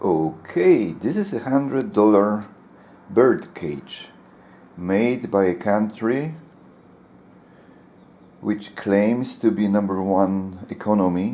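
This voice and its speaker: With a non-native accent, a man speaks very slowly in a fairly low, dark, mellow voice, using lively intonation and long, frequent pauses. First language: not English. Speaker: bird keeper. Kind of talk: casual talk to camera.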